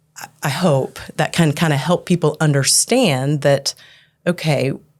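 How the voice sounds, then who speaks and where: A woman speaks with a very deep, low pitch. Her pace is fairly slow, and her pitch varies in an ordinary way. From Norway. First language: Norwegian. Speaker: church staff member. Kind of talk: podcast interview.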